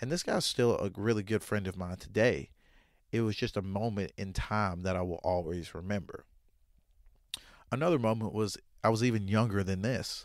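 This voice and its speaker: In a very clean recording with a silent background, a man with an American accent speaks at a fairly low pitch and moderate pace. He uses ordinary pitch variation and leaves long, frequent pauses. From Southern US, Arkansas. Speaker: podcast host. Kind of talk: podcast monologue. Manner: casual, conversational.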